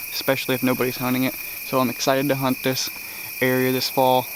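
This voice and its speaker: Very fast male speech over noticeable background noise. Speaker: deer hunter. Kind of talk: hunting vlog narration. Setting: outdoors in a tree stand.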